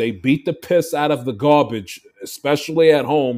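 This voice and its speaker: Speaking at a moderate pace, a man uses a plain, everyday voice with fairly high pitch and ordinary pitch variation. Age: 20s. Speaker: podcast co-host. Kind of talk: casual sports banter.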